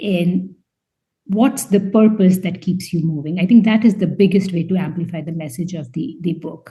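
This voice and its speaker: Somewhat breathy with a dark, mellow tone, a woman speaks at a medium pitch and moderate pace, with ordinary pitch variation and big swings in loudness. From India. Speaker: scientist and debut novelist. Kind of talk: interview. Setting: podcast interview. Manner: halting, many fillers and repeats.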